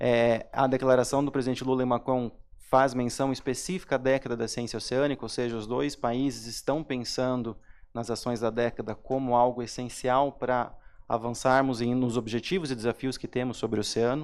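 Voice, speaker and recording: The recording is very clean and the background silent. A man speaks at medium pitch and a moderate pace, his intonation monotone and flat. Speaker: panel moderator, government science official. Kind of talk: panel moderation. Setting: seated on stage at a forum panel. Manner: informal, seated.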